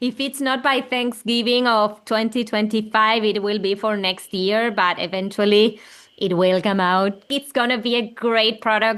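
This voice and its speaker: With an Argentine accent, a woman speaks fairly slowly at a fairly high pitch, with hardly any pauses. Her intonation stays fairly even against a quiet background. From Argentina. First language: Spanish. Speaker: children's music creator. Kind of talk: interview conversation.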